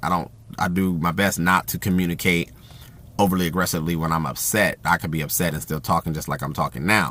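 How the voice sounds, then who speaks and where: A man with a very deep, low pitch talks at a very fast pace, his tone bright and sharp. There is vocal fry and ordinary pitch variation. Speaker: video blogger. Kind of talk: monologue on communication advice. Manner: halting, repeats words.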